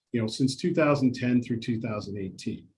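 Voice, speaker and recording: There is some breathiness in the voice. Pitch variation stays ordinary. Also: man. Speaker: investment adviser presenting a retirement webinar. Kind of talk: webinar presentation. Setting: webinar. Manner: fast.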